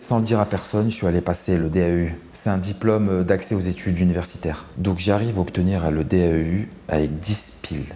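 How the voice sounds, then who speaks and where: A man's very deep, low voice with a dark, mellow tone, fairly even intonation, a fairly quick pace and hardly any pauses. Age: 30s. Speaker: lawyer. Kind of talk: interview testimony. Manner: casual, slangy.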